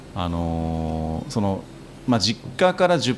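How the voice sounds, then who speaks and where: This man's voice sits very deep and low in pitch. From Japan, Tohoku (Miyagi Prefecture, Marumori). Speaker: design company president and university lecturer. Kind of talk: casual chat over drinks.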